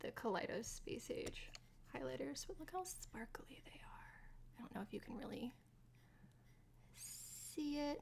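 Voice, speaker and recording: A woman whispers with long, frequent pauses. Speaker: streamer and makeup vlogger. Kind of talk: casual chat. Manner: chatty, with frequent fillers.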